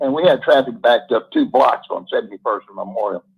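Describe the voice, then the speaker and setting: Using vocal fry, a man speaks at a fairly quick pace in a fairly high pitch. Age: 70s. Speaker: caller. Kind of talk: casual storytelling on call-in show.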